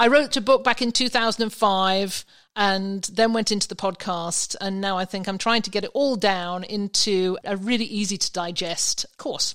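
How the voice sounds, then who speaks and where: On a very clean recording with a silent background, a woman with an English accent speaks at a medium pitch with ordinary pitch variation and hardly any pauses. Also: moderate pace. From England. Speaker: vacation rental expert. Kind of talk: casual interview chat.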